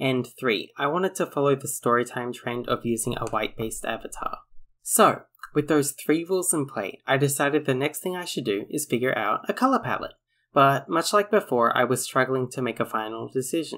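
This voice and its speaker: In an Australian accent, a man speaks at a fairly quick pace with a fairly high pitch, a bright, sharp tone and lively intonation, on a very clean recording with a silent background. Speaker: storytime animator YouTuber. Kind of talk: casual vlog narration.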